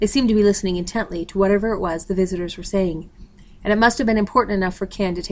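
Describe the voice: Someone does plain reading aloud. The words are read straight through.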